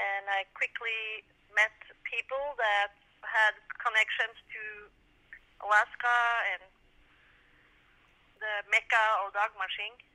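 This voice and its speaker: A woman speaks slowly-ish, with long, frequent pauses and a Norwegian accent. Her intonation is flat and monotone, while her loudness swings widely. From Norway. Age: 50s. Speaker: sprint musher. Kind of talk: interview. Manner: halting.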